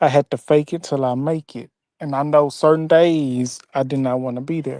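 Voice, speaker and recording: The speaker talks at a fairly slow pace in a Southern US accent. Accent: Southern twang. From Mississippi. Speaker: former grocery store worker. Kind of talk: casual chat.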